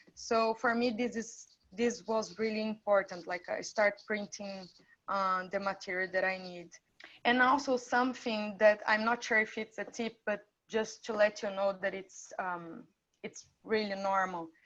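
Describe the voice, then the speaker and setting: A woman's fairly high voice with a non-native accent, fairly slow and fairly even in intonation, over a quiet background. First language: not English. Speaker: international student. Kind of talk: testimony.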